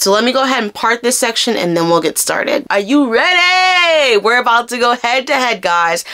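Over noticeable background noise, a woman talks at a fairly quick pace. Her pitch swings very widely. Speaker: hair care YouTuber. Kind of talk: product review tutorial vlog. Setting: at home, filming herself. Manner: animated; casual, chatty.

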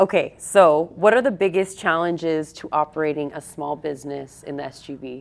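A woman with a very deep, low pitch speaks at a moderate pace with hardly any pauses. Her pitch variation is ordinary, while her loudness swings a lot. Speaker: podcast host. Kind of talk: casual interview chat. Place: gym. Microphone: lapel.

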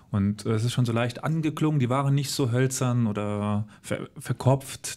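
On a very clean recording with a silent background, a man with a normal speaking voice talks at a fairly slow pace, medium in pitch with ordinary pitch variation. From Saarland, Germany (Völklingen). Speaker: history podcast host. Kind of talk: interview. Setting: on location at former steelworks heritage site.

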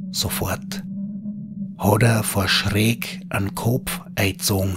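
A man speaks at a very slow pace in a dramatic tone with very wide pitch swings. Noticeable background noise runs behind him. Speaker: horror storyteller. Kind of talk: scripted ghost story narration in dialect. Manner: hushed, slow, eerie storytelling; dramatic, building suspense.

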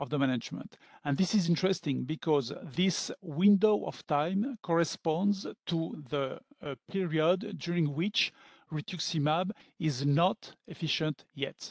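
A man with a high pitch, speaking at a fairly slow pace, with a dry sound with no echo and a quiet background. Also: ordinary pitch variation. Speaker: physician lecturer. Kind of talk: lecture. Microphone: webcam.

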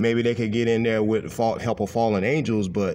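A man talks fairly quickly at a medium pitch. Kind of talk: religious exhortation monologue. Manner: emphatic, impassioned.

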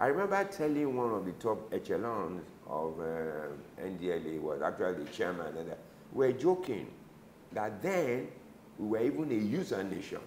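A man with a Nigerian accent talks at a moderate pace, his pitch swinging very widely. Light background noise and audible room echo are present. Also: fairly low pitch for a man. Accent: Nigerian (Yoruba) English. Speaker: retired medical doctor, anti-drug ministry director; interview guest. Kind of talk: interview. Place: office. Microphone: lapel.

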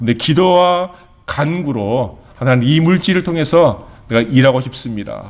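A man with a fairly high pitch, a fairly slow pace and lively intonation. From South Korea. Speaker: pastor. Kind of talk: sermon. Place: church. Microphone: lapel.

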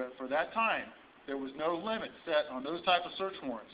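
With an American accent, a high-pitched man speaks at a fairly quick pace with lively intonation over light background noise. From Indiana, US Midwest. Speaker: sheriff candidate. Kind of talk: rally speech. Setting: rally audience, live event. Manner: earnest, fiery. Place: hall. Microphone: camera far.

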